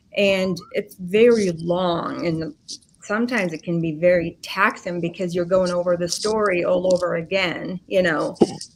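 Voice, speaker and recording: Noticeable background noise sits behind a woman who speaks at a moderate pace, her pitch fairly low and her intonation fairly even. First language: not English. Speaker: podcast guest telling life story. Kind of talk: casual chat.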